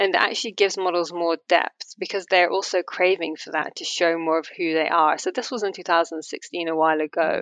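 With an English accent, a woman talks at a fairly quick pace with hardly any pauses, a fairly low pitch and fairly even intonation in a dry, close sound with no echo. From England. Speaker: fashion model and activist. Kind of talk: interview conversation.

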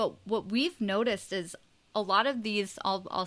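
The woman has an unremarkable speaking voice, pitched in the medium range with ordinary pitch variation and delivered at a moderate pace. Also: very clean recording, silent background. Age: 20s. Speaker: podcast host, guest. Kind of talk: interview.

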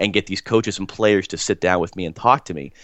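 Someone with an American accent talks at a very fast pace. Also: man. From US. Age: 30s. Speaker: soccer play-by-play broadcaster. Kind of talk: interview.

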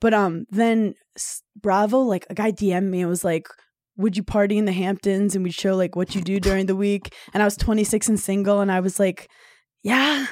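In an American accent, the speaker uses a normal speaking voice at a moderate pace with fairly even intonation on a very clean recording with a silent background. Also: woman, medium pitch for a woman. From New York, Brooklyn. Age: 30s. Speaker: comedian. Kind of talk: casual chat.

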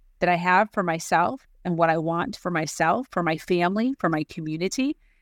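With a Chicago accent, a woman talks at a moderate pace in a fairly low voice with ordinary pitch variation, the sound dry and close with no echo. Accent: Chicago-area American. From US Midwest, Chicago suburbs. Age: 40s. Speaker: time management coach. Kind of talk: interview. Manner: animated.

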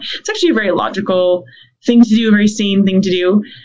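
Speaking at a very fast pace, a woman uses a medium pitch. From Canada. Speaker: theology professor, author. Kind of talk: interview conversation. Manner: fast talker.

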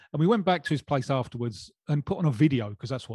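Over a silent background in a very clean recording with a dry, close sound and no echo, a man with a fairly high pitch and a dark, mellow, somewhat breathy tone speaks very fast with lively intonation. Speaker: football journalist. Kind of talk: casual chat.

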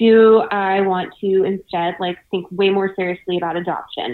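A woman with a plain, everyday voice talks at a medium pitch and moderate pace, with ordinary pitch variation. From US South (Savannah, Georgia). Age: 20s. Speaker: financial journalist. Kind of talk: casual interview.

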